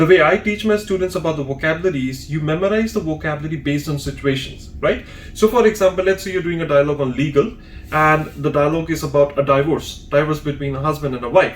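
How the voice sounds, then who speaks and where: Over music in the background, a man rattles along at a very fast pace, his pitch fairly high with ordinary variation. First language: Hindi or another Indian language. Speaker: language exam trainer. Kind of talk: tutorial.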